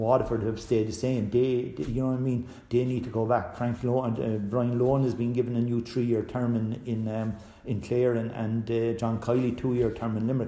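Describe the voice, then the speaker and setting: In a Cork accent, a man speaks fairly quickly at a medium pitch with monotone, flat intonation. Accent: Cork Irish. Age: 60s. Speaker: author and hurling coach. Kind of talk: casual interview chat.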